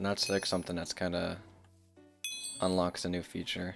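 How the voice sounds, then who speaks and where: Music plays in the background. A man with a very deep, low voice talks at a very fast pace. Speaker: gaming streamer. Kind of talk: gameplay commentary. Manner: casual, rambling.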